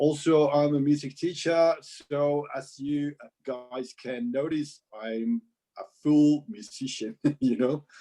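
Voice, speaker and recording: A man's fairly high voice with a dark, mellow tone and a British accent. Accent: British-sounding English. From Mexico. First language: Spanish. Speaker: composer and music teacher. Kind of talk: casual interview chat. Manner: halting, many fillers.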